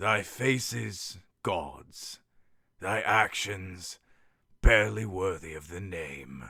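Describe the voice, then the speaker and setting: In a very clean recording against a silent background, a man does a put-on character voice that is raspy and very deep, speaking very slowly. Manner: archaic, grandiose.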